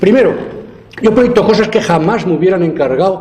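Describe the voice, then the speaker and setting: Speaking at a very fast pace, a man with a high pitch sounds animated, his intonation lively, with audible room echo and noticeable background noise. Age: 70s. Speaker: architecture professor. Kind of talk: lecture.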